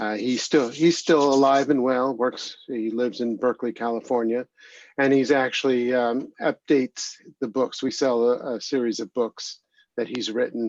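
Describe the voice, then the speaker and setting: Over a quiet background, a man speaks in a normal speaking voice at medium pitch and a moderate pace, with fairly even intonation and a dry, close sound with no echo. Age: 60s. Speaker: executive director of a recovery organization. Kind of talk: interview testimony. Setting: video call.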